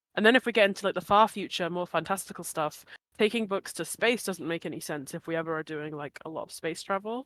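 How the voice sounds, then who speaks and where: In a dry, close recording with no echo, a woman with a fairly low pitch talks at a very fast pace, her pitch varying in an ordinary way. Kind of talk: reading aloud prepared answer; casual chat.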